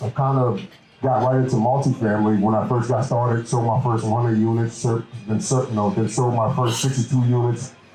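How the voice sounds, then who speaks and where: A man's medium-pitched voice with an American accent, at a fairly quick pace with ordinary pitch variation, against noticeable background noise. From US South, New Orleans, Louisiana. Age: 20s. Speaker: commercial real estate broker, meetup organizer. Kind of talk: event introduction. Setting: meetup with live audience. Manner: hesitant, many fillers.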